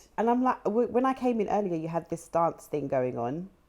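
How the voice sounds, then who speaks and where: Speaking at a fairly quick pace with a London accent, a woman with a dark, mellow tone uses lively intonation in a very clean recording with a silent background. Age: 30s. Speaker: chat show host. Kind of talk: interview. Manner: animated.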